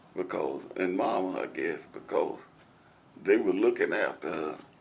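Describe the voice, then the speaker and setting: Audible room echo surrounds the voice. A man with an American accent speaks at a fairly slow pace. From US South. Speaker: oral history interviewee. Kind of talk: oral history interview. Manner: halting.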